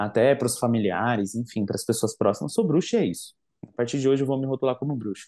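A man's medium-pitched voice, with ordinary pitch variation, sounds against a quiet background. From Brazil, Guarulhos, São Paulo; São Paulo, Brazil. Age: 20s. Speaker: witchcraft content creator; podcast guest. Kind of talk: casual chat. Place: home room. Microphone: video call.

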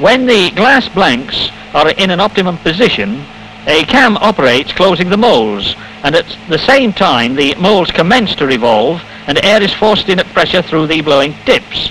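A man's high-pitched voice with very wide pitch swings, very even loudness and a moderate pace, over noticeable background noise. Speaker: film narrator. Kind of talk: 1950 industrial film narration, scripted voiceover. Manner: formal, measured, precise, matter-of-fact; steady, unemotional, instructional pacing.

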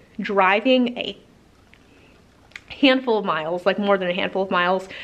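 A woman speaking at a moderate pace. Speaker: homesteader vlogger. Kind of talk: casual vlog chat. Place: garage. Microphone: phone near.

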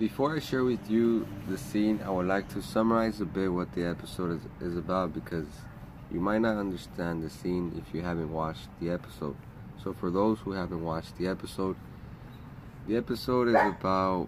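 A man speaks at a moderate pace in a very deep, low voice with ordinary pitch variation. He leaves long, frequent pauses, and background noise is noticeable. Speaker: vlogger. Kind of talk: casual vlog chat, episode summary. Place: garden. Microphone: phone near.

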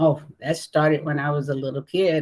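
A woman at a very deep, low pitch, monotone and flat in intonation, at a moderate pace over a quiet background. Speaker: remote interview guest. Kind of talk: interview answer. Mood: warm, reminiscing. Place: home room.

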